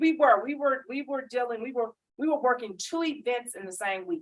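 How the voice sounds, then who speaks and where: A woman with a Southern US accent talks at a moderate pace, her pitch high and its variation ordinary. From Mississippi. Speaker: government small business outreach official. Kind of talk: panel discussion at public event. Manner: loud.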